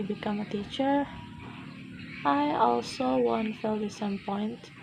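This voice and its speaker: Over noticeable background noise, a woman with an Indonesian accent speaks at a medium pitch with very wide pitch swings. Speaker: university student. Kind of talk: speaking test monologue. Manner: halting.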